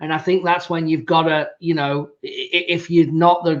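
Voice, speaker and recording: Pitched high, a man speaks with an English accent. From England. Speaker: podcast host. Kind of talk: casual interview chat.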